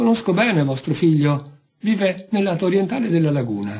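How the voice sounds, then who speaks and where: A man uses a put-on character voice, high, strained and shaky, with very wide pitch swings. His pace is moderate and his loudness very even. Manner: deceptive, feigning.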